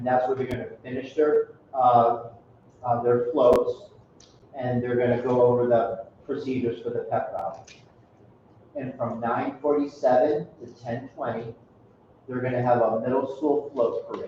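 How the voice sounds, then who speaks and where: Noticeable background noise sits under a man's voice. He keeps a moderate pace with long, frequent pauses. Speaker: school principal. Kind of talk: meeting announcements. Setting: school meeting, livestreamed.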